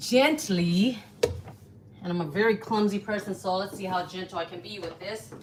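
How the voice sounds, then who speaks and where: Through noticeable background noise comes a woman's medium-pitched voice with lively intonation. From US South. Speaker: home cook, food channel host. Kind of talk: live cooking tutorial. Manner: casual, chatty.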